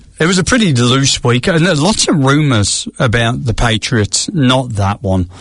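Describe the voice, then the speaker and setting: With an English accent, a somewhat breathy man speaks at a moderate pace and medium pitch, his pitch swinging very widely while his loudness stays very even and he hardly pauses. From England. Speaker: podcast co-host. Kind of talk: casual chat. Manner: animated.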